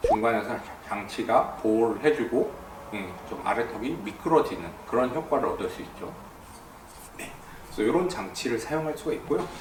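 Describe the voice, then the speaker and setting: Amid noticeable background noise and audible room echo, a man of medium pitch talks at a moderate pace with lively intonation, big swings in loudness, and long, frequent pauses. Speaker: dentist. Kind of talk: explainer video.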